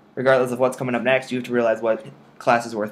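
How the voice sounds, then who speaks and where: Mumbling, a man speaks at a medium pitch. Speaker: medical student vlogger. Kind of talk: casual video diary. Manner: rambling.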